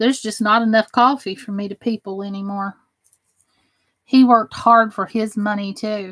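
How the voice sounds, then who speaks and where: A woman with an ordinary speaking voice, fairly high in pitch, at a moderate pace with fairly even intonation and big swings in loudness, in a dry, close sound with no echo. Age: 40s. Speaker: crafting livestreamer. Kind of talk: casual livestream chat. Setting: live stream reading chat.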